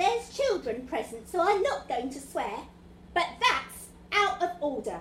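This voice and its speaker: In a put-on character voice, a woman speaks at a moderate pace with a high pitch, a slight echo and clear background noise. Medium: stage play. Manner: theatrical.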